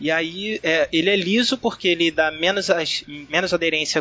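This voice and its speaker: Amid noticeable background noise, a man with a high pitch talks at a moderate pace and ordinary pitch variation. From Rio de Janeiro, Brazil. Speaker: cyclist. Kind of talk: casual chat.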